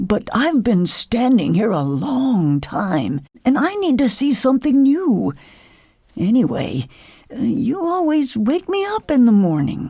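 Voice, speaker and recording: Someone uses a put-on character voice with fairly high pitch at a fairly slow pace. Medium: read story.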